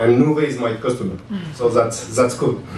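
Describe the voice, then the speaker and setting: Speaking with a French accent at medium pitch, a man keeps a fairly even intonation amid audible room echo and noticeable background noise. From France. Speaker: tech startup founder. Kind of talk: conference panel talk. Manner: halting.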